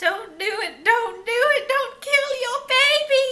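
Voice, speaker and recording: In a put-on character voice, a female-sounding speaker uses an extremely high pitch at a fairly slow pace. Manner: creepy, pleading.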